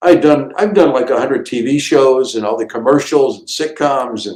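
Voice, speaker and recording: A man talks at a moderate pace in a normal speaking voice with lively intonation. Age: 60s. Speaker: comedian. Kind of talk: casual chat.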